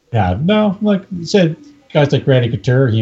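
Lively intonation marks a man speaking at a moderate pace amid noticeable background noise. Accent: Canadian. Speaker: UFC MMA expert. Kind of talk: casual chat.

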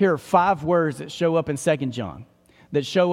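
Pitched fairly high, a man speaks in an East Texas accent with ordinary pitch variation. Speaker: pastor. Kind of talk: sermon.

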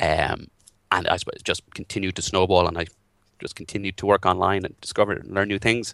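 In an Irish accent, a man with a very deep, low pitch talks at a fairly quick pace with fairly even intonation, the sound dry and close with no echo over a quiet background. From Ireland. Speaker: WordPress developer and social media marketer. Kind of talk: interview.

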